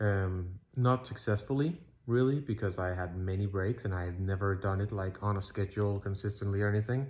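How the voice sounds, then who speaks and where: Against a quiet background, a man with a non-native accent and a fairly low, somewhat breathy voice talks at a fairly quick pace with hardly any pauses. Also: ordinary pitch variation. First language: not English. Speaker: streamer and vlogger. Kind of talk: casual talk to camera. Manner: halting, many fillers.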